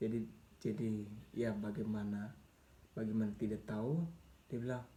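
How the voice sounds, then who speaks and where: Audible room echo surrounds a man whose dark, mellow, fairly low voice moves at a moderate pace. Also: ordinary pitch variation. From Papua highlands, Indonesia. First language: Mee (Papuan language) (speaking Indonesian). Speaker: vlogger sharing life story. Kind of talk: personal storytelling. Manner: casual, halting with repetitions.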